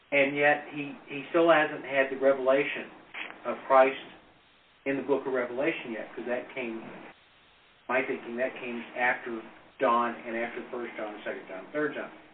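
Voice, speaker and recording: This man has a medium-pitched voice, fairly even intonation and a moderate pace, broken by long, frequent pauses. His loudness swings widely against noticeable background noise. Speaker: Bible study participant. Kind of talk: group Bible discussion.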